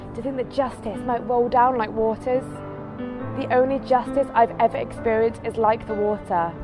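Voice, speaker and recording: With music in the background, a woman speaks at a moderate pace, her fairly high pitch held in fairly even intonation. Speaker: spoken word poet. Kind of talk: spoken word poetry performance. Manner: impassioned, earnest.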